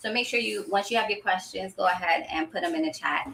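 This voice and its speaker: The woman speaks with ordinary pitch variation. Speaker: herbalist. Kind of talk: live stream tutorial. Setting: live stream. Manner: fast.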